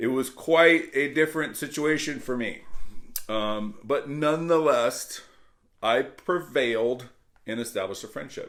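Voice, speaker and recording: With an American accent, a man speaks at a fairly slow pace and a fairly high pitch. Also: ordinary pitch variation. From US South, military family. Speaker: mortgage account executive. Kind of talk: motivational talk to camera. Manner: casual, hesitant with fillers.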